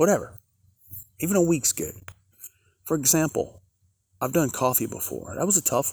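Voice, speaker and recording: A man with a fairly high voice and some vocal fry talks at a moderate pace with lively intonation, recorded very cleanly against a silent background. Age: 50s. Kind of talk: casual devotional monologue. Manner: halting, many fillers.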